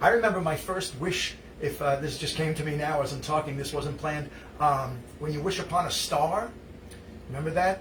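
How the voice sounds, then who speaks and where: A man with a fairly high pitch and ordinary pitch variation speaks at a fairly quick pace, with noticeable background noise and audible room echo. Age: 60s. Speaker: musician hosting a live stream. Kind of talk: casual chat. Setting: live stream. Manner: halting.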